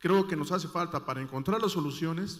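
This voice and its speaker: A man at a high pitch with fairly even intonation and a fairly quick pace. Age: 60s. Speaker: audience member asking a question. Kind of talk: audience question at a conference panel. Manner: halting, many fillers.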